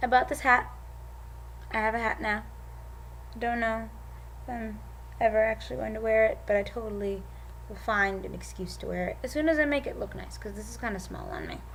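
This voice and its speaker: A woman talks at a fairly quick pace but leaves long, frequent pauses. Her loudness swings widely, and room echo is audible. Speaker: vlogger. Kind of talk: casual vlog. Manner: animated.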